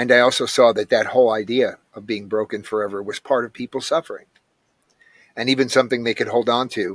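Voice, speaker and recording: In a very clean recording with a silent background, a man talks at a very fast pace and a medium pitch, with fairly even intonation, big swings in loudness, and a dry, close sound with no echo. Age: 60s. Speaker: ayahuasca practitioner, recovering addict. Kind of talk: interview, personal testimony.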